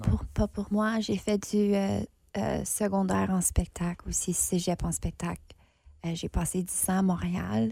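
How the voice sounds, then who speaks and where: On a very clean recording with a silent background, a woman with a medium pitch speaks at a very slow pace, somewhat breathy and with a dark, mellow tone. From northern Ontario, Franco-Ontarian. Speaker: theatre artist, festival judge. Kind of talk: casual interview.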